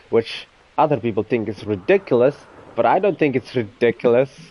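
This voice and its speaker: The speech runs at a fairly quick pace with very wide pitch swings amid noticeable background noise. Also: man. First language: not English (speaks own tongue, Dutch, English). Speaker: gaming streamer. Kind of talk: casual chat while live streaming a game. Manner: halting, self-correcting.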